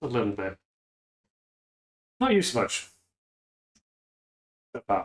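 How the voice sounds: A man performs a put-on character voice at a slow pace. His pitch swings very widely. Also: medium pitch for a man.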